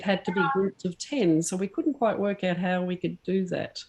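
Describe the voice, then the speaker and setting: A woman with an Australian accent speaks at a medium pitch with ordinary pitch variation, with noticeable background noise behind her. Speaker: camera club meeting chair. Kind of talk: casual chat. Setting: video call.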